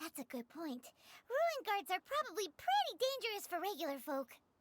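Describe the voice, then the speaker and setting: A put-on character voice at an extremely high pitch moves at a moderate pace with very wide pitch swings. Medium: video game. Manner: lively, chatty.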